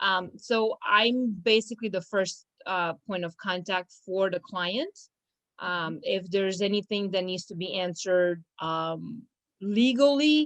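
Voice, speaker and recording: Someone with a Romanian accent speaks at a fairly slow pace with ordinary pitch variation. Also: woman, medium pitch for a woman. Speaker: law firm business manager. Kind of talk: casual interview. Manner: hesitant, many fillers.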